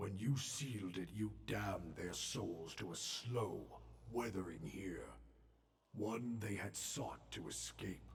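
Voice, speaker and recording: A man puts on a character voice that is raspy and very deep, with very wide pitch swings. He talks at a fairly slow pace. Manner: grave, ominous.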